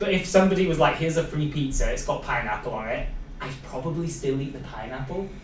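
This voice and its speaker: Over noticeable background noise and audible room echo, a man with a fairly high pitch speaks in a Welsh accent. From Wales. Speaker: podcast host, social media coordinator. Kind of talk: casual interview chat.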